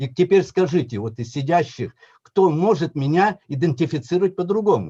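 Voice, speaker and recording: A dark, mellow voice in a Tatar accent, with lively intonation at a moderate pace. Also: man, fairly high pitch for a man. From Yakutia, Russia. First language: Tatar (speaking Russian). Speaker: professor, historian. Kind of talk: conference talk.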